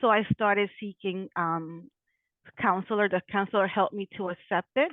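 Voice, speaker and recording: An ordinary speaking voice belongs to a woman with an American accent. She talks at a moderate pace and medium pitch, with ordinary pitch variation. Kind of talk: interview.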